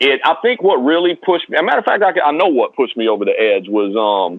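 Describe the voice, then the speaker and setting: Speaking with a Southern US accent, a man lets his pitch swing very widely. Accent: Southern accent that stands out in New York. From East Tennessee, US South. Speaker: rapper and producer. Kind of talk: interview. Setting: phone call. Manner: hesitant, many fillers.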